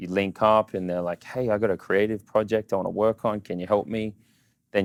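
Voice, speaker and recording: Heard at a moderate pace in an Australian accent, the speech has fairly even intonation, recorded very cleanly with a silent background and a dry, close sound with no echo. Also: man. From Australia, Sydney. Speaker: social media entrepreneur. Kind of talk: casual interview. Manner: casual, filler-heavy.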